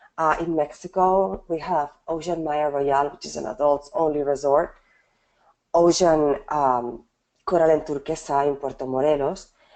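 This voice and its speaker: With a very deep, low pitch and a dark, mellow tone, a woman speaks at a moderate pace with fairly even intonation. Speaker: hotel wedding sales representative. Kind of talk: sales presentation. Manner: hesitant, many fillers.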